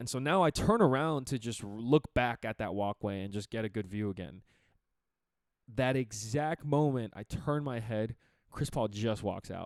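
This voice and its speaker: In a dry, close sound with no echo, a man talks in an animated tone at a moderate pace, with a medium pitch and ordinary pitch variation. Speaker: podcast host. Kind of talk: casual storytelling.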